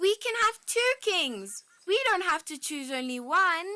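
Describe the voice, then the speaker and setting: Shouting in a squeaky, extremely high-pitched put-on character voice, the speaker moves at a fairly slow pace. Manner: screaming, pleading.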